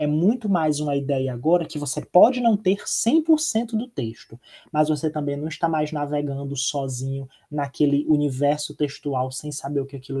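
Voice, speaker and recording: Somewhat breathy and fairly high in pitch, the man's voice has a dark, mellow tone. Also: quiet background. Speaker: teacher. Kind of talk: online lecture. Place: home room. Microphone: webcam.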